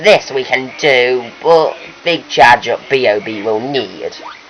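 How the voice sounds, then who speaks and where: A man puts on a character voice, keeping a medium pitch and a fairly slow pace. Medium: machinima. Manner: inverted word order.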